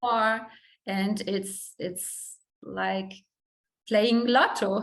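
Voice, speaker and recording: A woman's very slow, monotone, flat speech in a German accent, with audible room echo. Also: medium pitch for a woman. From Germany. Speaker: model. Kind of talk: interview. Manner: halting.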